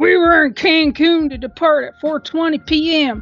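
A put-on character voice speaks fairly slowly at a high pitch, with faint music in the background. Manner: indignant.

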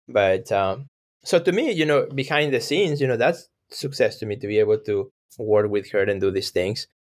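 With a Mexican accent, a man speaks at a moderate pace and medium pitch with lively intonation, on a very clean recording with a silent background. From Mexico. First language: Spanish. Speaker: artist and gallery owner. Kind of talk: casual interview.

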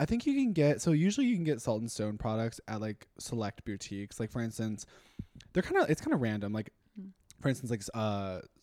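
An unremarkable speaking voice, this man's has a medium pitch and lively intonation, delivered with an American accent at a fairly quick pace in a dry, close sound with no echo. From Texas, Austin. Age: 20s. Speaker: influencer. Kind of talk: casual chat.

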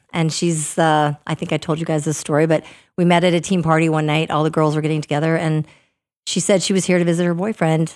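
Delivered at a very fast pace in a monotone, flat intonation, the speech comes through a very clean recording with a silent background. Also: woman, very deep, low pitch for a woman. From US Upper Midwest, Minnesota. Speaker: hockey coach's wife and realtor. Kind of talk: casual podcast interview.

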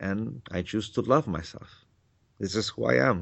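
In a Mexican accent, a man talks at a fairly slow pace with fairly low pitch and lively intonation. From Mexico. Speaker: spiritual author and teacher. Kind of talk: interview.

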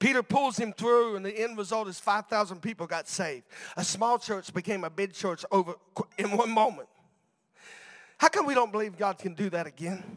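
In a dry, close sound with no echo, the speaker talks at a moderate pace in an animated tone with ordinary pitch variation. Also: man, high pitch for a man. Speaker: preacher. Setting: church with live congregation. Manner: animated, fervent, urgent, with a rousing call-and-response cadence; jokey and playful, with a humorous aside.

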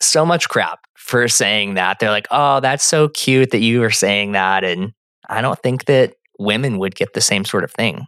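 A man with an American accent talks at a fairly slow pace in a bright, sharp tone. The sound is dry and close, with no echo. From Phoenix, Arizona. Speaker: therapist and podcast co-host. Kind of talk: casual chat.

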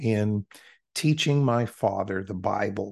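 At a fairly slow pace, a man with an ordinary speaking voice and a fairly low pitch talks over a quiet background. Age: 60s. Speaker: preacher. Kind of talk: interview.

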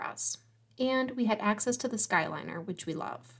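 Pitched fairly high, a woman with vocal fry speaks at a moderate pace and with lively intonation. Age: 40s. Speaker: travel planner podcast host. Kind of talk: solo podcast monologue.

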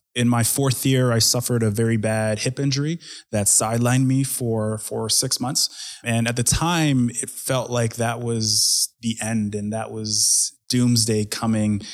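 A man with an ordinary speaking voice talks at a fairly slow pace and a medium pitch, with fairly even intonation and hardly any pauses. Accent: Canadian. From Edmonton, Canada. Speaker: festival founder and tech executive. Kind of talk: interview conversation.

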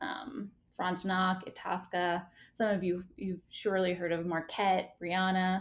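A woman with an American accent speaks in a normal speaking voice at a medium pitch, at a fairly slow pace with fairly even intonation. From Staten Island, New York. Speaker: vineyard founder. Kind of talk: casual interview.

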